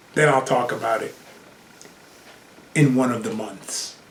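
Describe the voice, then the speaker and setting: Against noticeable background noise and audible room echo, a man with an American accent speaks with ordinary pitch variation. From Brooklyn, New York. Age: 60s. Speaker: podcaster and broadcast cameraman. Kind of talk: personal monologue. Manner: animated.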